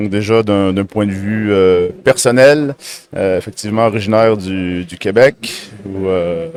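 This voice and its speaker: A man speaks very slowly, his pitch fairly low. His intonation rises and falls in an ordinary way. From Quebec, Berthierville. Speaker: company co-founder, technical director. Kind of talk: casual interview. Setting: trade fair.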